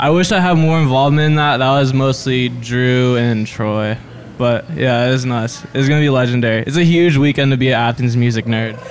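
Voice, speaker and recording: The voice holds a very even loudness and ordinary pitch variation over noticeable background noise. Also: man, medium pitch for a man, fairly quick pace. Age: young. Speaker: sound engineer. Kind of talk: casual chat.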